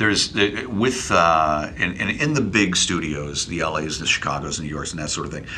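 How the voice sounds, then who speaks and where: A man with an American accent speaks in a very deep, low voice. There is noticeable background noise. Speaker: voiceover artist, former radio DJ. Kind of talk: casual interview. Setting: studio office. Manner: witty, conversational.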